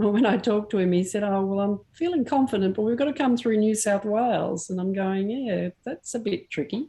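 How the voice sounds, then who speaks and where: With an Australian accent, a woman talks in a dark, mellow, somewhat breathy tone at a medium pitch with ordinary pitch variation. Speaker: camera club meeting chair. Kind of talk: casual chat. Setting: video call.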